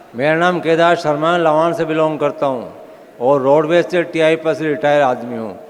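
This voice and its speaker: A man talks at a fairly high pitch with fairly even intonation. Noticeable background noise and audible room echo surround his voice. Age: 70s. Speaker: retired transport worker, product distributor. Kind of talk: testimony. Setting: stage with audience. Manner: emphatic.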